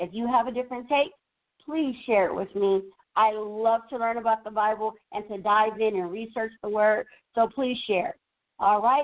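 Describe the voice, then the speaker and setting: This woman has a fairly high pitch and an ordinary speaking voice. She talks at a moderate pace. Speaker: radio co-host. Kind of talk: radio talk and Bible teaching. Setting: radio studio. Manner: upbeat, chatty.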